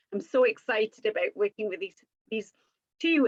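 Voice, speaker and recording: Recorded with a dry, close sound and no echo, a woman with a Geordie accent speaks at a fairly quick pace and a fairly high pitch. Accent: North East English (Geordie-type). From North East England. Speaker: image consultant and life coach. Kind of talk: live-stream chat. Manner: fast.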